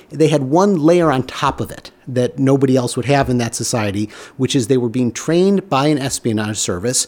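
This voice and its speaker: With noticeable background noise behind him, a man speaks at medium pitch and a moderate pace, with ordinary pitch variation and hardly any pauses. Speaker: show creator and showrunner. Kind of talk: casual interview discussion.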